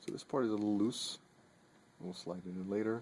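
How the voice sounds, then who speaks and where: A man speaks in a soft-spoken voice. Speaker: knife maker. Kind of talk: tutorial. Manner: halting.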